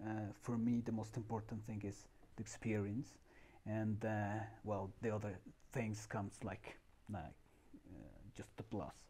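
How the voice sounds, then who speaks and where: Pausing long and often, a man speaks fairly slowly in a fairly low, dark, mellow voice with vocal fry and monotone, flat intonation. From Mexico, Puebla. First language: Spanish. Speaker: summer camp staff member. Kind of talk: interview. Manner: halting.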